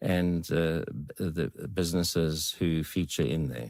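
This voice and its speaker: A man with a very deep, low pitch talks on a very clean recording with a silent background. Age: 70s. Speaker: veteran biker. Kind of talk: podcast interview. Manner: hesitant, with fillers.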